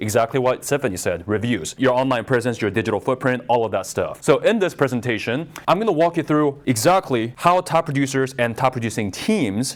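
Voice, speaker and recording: With an American accent, a man speaks at a medium pitch and a fairly quick pace. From Southern California. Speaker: marketing presenter. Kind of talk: live presentation to an audience. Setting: room with live audience, no microphone. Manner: loud. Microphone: no microphone used.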